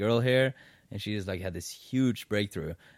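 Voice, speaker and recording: A man speaks at a moderate pace with fairly even intonation. He has a plain, everyday voice. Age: 20s. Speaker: podcast host. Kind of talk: casual chat. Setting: in his apartment.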